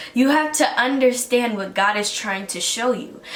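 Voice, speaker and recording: Amid audible room echo and noticeable background noise, a woman speaks at a fairly slow pace in a high voice with lively intonation. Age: 20s. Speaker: college student podcaster. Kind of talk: motivational talk.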